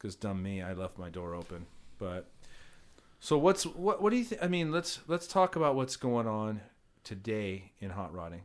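A man at a moderate pace, with very wide pitch swings, big swings in loudness and long, frequent pauses, in a very clean recording with a silent background. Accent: Southern California. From Orange County, California. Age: 40s. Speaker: podcast host. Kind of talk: casual chat. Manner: animated.

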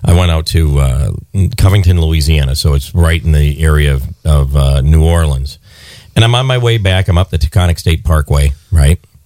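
A man speaks at a moderate pace in a very deep, low voice, with ordinary pitch variation. His loudness stays very even, and there is noticeable background noise. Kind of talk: radio DJ patter, bantering live between songs and promos. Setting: radio studio. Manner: animated, jokey, laughing and ad-libbing.

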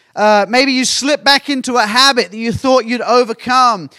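In a raised, projected voice, a man speaks with an animated, bright, sharp tone at an extremely high pitch. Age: 50s. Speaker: pastor. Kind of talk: sermon.

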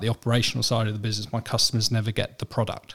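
A man with an English accent, medium pitch, fairly even intonation and a somewhat breathy quality. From England. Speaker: managing director of a medical aids company. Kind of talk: interview. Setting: studio.

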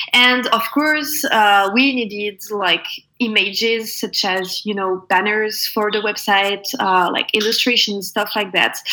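Noticeable background noise sits behind a woman speaking at a very slow pace in a French accent. Her pitch is fairly high and her intonation fairly even. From France, Normandy. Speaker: product designer. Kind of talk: interview.

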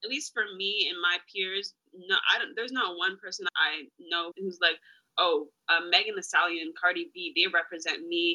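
Her pitch medium and its variation ordinary, a woman speaks at a moderate pace in a normal speaking voice. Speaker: student, guest's daughter. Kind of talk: casual chat.

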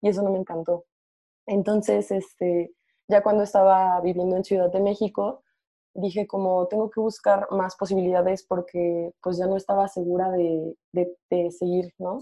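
A woman speaks at a moderate pace in a medium pitch, her dark, mellow tone delivered in a flat monotone over a quiet background. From Mexico, Morelia (Michoacán). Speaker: podcast co-host, environmental scientist. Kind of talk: casual chat.

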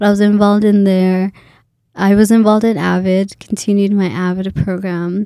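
Speaking with a Somali accent, a woman uses a medium pitch, a dark, mellow tone and monotone, flat intonation at a fairly slow pace, on a very clean recording with a silent background. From Boise, Idaho (from age ~9; born Kenya, Somali family). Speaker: graduate student. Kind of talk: casual interview.

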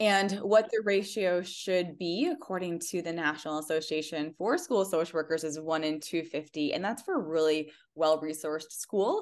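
With a Midwestern accent, a woman speaks at a moderate pace in a fairly low pitch, hardly pausing, against a quiet background. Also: ordinary pitch variation. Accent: general American, Midwestern. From US Midwest. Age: 40s. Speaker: school founder and life coach. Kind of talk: interview conversation.

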